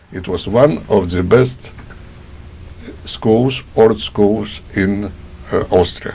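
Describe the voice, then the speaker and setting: A man with a Polish accent speaks at a very slow pace with a fairly low pitch. He takes long, frequent pauses amid noticeable background noise. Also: ordinary pitch variation. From Poland. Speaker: Holocaust survivor. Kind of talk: oral history testimony.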